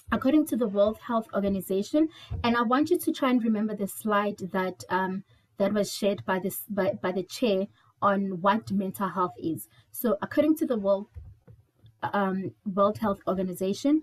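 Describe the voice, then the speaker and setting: Lively intonation marks a woman's somewhat breathy, medium-pitched voice at a moderate pace. The sound is dry and close, with no echo. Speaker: mental health trainer. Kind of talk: webinar presentation.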